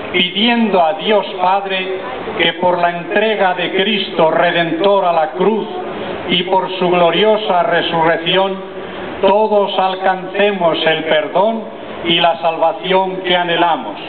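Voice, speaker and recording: Loud background noise behind a man speaking at a very slow pace. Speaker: bishop leading prayer. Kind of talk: read liturgical prayer. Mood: solemn devout. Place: street.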